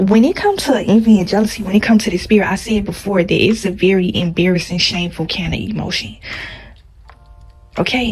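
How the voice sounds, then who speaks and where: A soft-spoken woman talks at a very fast pace over music in the background. Her pitch sits in the medium range, with ordinary pitch variation. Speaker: YouTuber. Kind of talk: casual vlog monologue.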